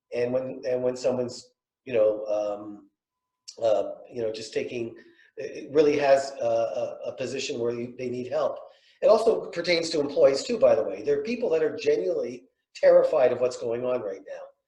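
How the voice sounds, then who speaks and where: A man talks at a fairly quick pace with long, frequent pauses and big swings in loudness, and audible room echo fills the recording. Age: 60s. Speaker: real estate developer. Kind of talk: panel discussion. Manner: halting.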